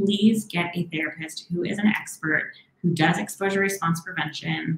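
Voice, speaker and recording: A woman's ordinary speaking voice, fairly low in pitch, with ordinary pitch variation at a moderate pace. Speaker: therapist. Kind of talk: live Q&A advice. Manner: warm, encouraging.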